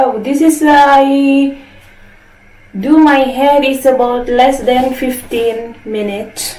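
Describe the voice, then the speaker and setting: With an Indonesian accent, a woman speaks very slowly at a high pitch amid noticeable background noise and audible room echo. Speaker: beauty product vlogger. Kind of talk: product review. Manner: casual, halting non-native English.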